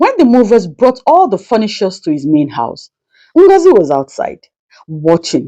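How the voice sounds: With a dark, mellow tone, a woman talks at a fairly slow pace and medium pitch, making big pitch swings.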